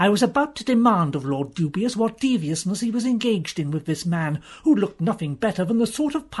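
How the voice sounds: The speaker reads naturally, with lively intonation.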